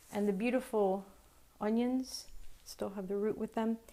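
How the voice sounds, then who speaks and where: Her tone dark and mellow, a woman speaks with fairly even intonation. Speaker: cooking show host. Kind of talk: tutorial. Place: kitchen. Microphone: lapel.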